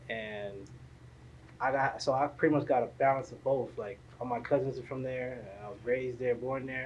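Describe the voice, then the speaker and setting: Medium pitch for a man, in a South Florida accent, fairly even intonation, big swings in loudness and a moderate pace. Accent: South Florida American English. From South Florida, Haitian family. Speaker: podcast host. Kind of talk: casual interview.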